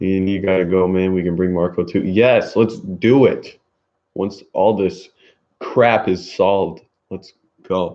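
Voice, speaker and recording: A man talks at a fairly slow pace with a very deep, low pitch. His tone is dark and mellow, with fairly even intonation. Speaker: streamer. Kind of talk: casual chat. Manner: monotone.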